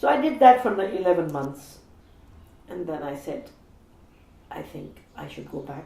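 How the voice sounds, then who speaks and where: Audible room echo surrounds this woman's voice. She talks at a fairly slow pace in a fairly low pitch. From India. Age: 60s. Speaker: feminist activist. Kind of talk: interview reflection.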